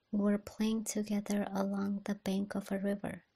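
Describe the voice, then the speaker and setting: Soft-spoken and somewhat breathy, a woman whispers at a fairly slow pace. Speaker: ASMR reader. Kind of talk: ASMR bedtime story reading. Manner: soft-spoken, whispery.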